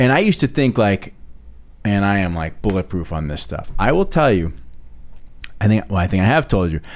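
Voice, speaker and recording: Speaking in an animated tone with lively intonation, a man with a fairly low pitch keeps a fairly quick pace yet takes long, frequent pauses, in a very clean recording with a silent background. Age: 50s. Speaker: podcast host. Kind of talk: casual chat.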